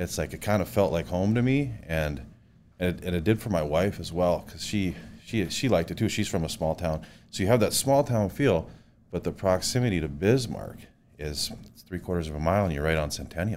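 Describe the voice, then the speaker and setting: On a very clean recording with a silent background, a man with a North Dakota accent talks fairly quickly in a very deep, low pitch with lively intonation. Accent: Upper Midwest (North Dakota). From North Dakota, Williston. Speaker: home builder. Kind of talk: interview.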